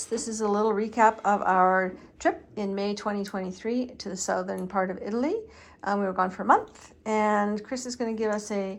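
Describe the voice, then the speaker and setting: A woman with a fairly high pitch talks at a moderate pace in an ordinary speaking voice. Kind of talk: casual talk to camera.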